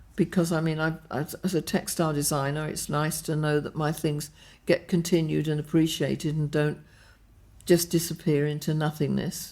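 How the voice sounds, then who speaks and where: A woman with an English accent speaks at a moderate pace in a very deep, low pitch, her dark, mellow tone monotone and flat, on a very clean recording with a silent background. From England. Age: 80s+. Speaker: fashion designer. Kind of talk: interview answer. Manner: exuberant, gregarious.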